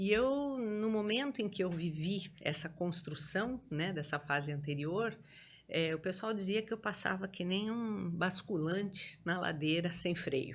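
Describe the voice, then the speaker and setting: At a fairly slow pace, a woman with an unremarkable speaking voice and medium pitch uses lively intonation and very even loudness. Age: 60s. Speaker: entrepreneur, franchise owner. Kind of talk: podcast interview.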